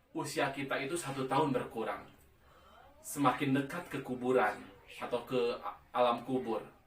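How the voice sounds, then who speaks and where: There is audible room echo as a man speaks. His pitch is medium and his pace moderate. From West Java, Sundanese. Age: 40s. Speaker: pharmaceutical sales supervisor doing amateur stand-up. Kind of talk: stand-up.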